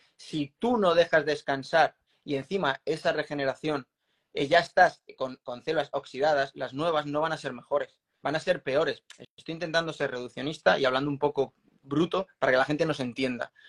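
An unremarkable speaking voice from a man, fairly high in pitch with ordinary variation, at a moderate pace, dry and close with no echo. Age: 40s. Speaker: former Olympic triathlete and strength coach. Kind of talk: interview.

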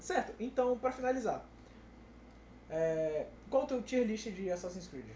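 Speech comes at a fairly slow pace with long, frequent pauses. Noticeable background noise sits underneath. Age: 20s. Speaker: podcast co-host. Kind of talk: casual chat.

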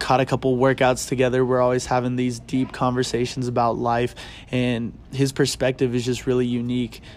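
A man speaks with monotone, flat intonation. Music plays in the background. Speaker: podcast host. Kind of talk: casual chat. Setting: bookstore, public indoor space. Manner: loud.

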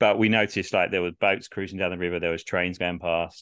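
A man with a very deep, low pitch speaks at a very fast pace using fairly even intonation. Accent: English. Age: 30s. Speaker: podcast host, football fan. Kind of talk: casual chat; live commentary.

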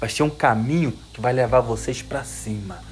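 This man's voice sits at a medium pitch. He keeps to a moderate pace. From Brazil, Minas Gerais (Jequitinhonha valley). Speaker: preacher. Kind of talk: sermon to young audience. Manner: animated.

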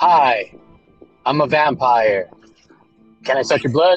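Over faint background music, a put-on character voice sits at a low-to-middle pitch and moves at a fairly slow pace. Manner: theatrical, spooky.

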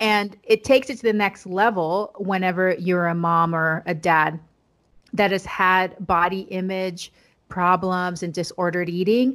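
A woman in a plain, everyday voice, fairly slow, with fairly even intonation. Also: medium pitch for a woman. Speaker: pediatrician. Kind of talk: casual interview.

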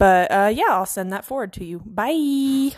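A woman speaks with ordinary pitch variation. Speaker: caller. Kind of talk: voicemail message.

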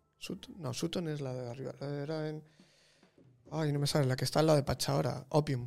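A man's fairly high voice with ordinary pitch variation, a moderate pace and long, frequent pauses, over music in the background. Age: 30s. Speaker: photographer. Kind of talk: casual chat.

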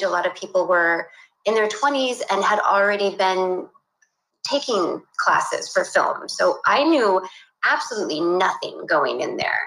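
Speaking at a fairly slow pace, a woman has an ordinary speaking voice. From California, US (San Luis Obispo). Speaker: animation director. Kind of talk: casual interview. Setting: remote call from home office.

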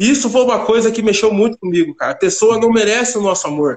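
A man with a high pitch at a very fast pace. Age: 30s. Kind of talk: testimony.

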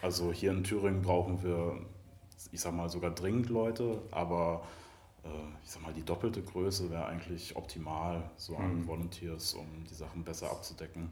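Over audible room echo, a man with a very deep, low, somewhat breathy voice speaks at a moderate pace, with big swings in loudness. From Mecklenburg-Vorpommern, Germany. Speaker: animal-protection volunteer. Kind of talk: casual interview chat. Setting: music venue backstage before a show.

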